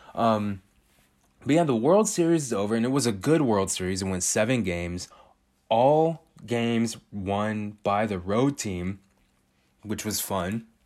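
Speaking at a fairly slow pace, a man with a fairly low pitch and lively intonation has an ordinary speaking voice. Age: 20s. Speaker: solo podcast host. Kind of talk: casual monologue.

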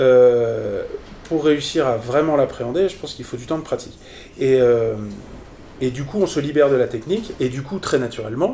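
Here a man speaks at a moderate pace. His fairly high pitch has ordinary variation. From France, Strasbourg (Alsace). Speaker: improv theatre teacher and performer. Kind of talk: casual interview. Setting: at the guest's home. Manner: halting, many repetitions.

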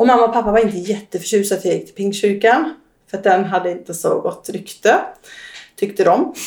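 A woman speaks at a medium pitch. She has a slight Västergötland accent. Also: ordinary pitch variation, fairly quick pace. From Västergötland, Sweden. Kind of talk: interview about personal testimony.

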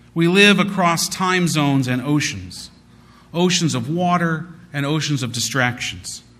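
Audible room echo surrounds a man with a fairly high pitch and ordinary pitch variation. He speaks at a fairly slow pace. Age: 40s. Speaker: rabbi. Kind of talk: sermon.

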